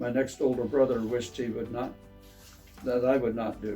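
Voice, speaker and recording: A medium-pitched man with an American accent at a moderate pace and fairly even intonation, music playing in the background. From Pennsylvania, USA. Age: 80s+. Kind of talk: reading his own memoir aloud.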